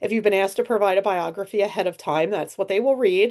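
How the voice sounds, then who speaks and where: The speaker is a woman with a medium pitch. She talks at a moderate pace against a quiet background. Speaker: presentation skills instructor. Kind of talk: instructional talk.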